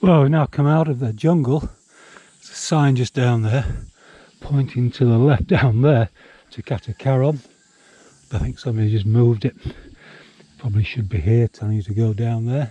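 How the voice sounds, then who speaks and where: Speaking with a Yorkshire accent, a man uses a medium pitch with ordinary variation and a dark, mellow tone that is somewhat breathy. His pace is moderate with long, frequent pauses, and the sound is dry and close with no echo. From Yorkshire, northern England. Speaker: hiking vlogger. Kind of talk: walking vlog narration. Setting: outdoors, hiking. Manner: casual, with hesitations.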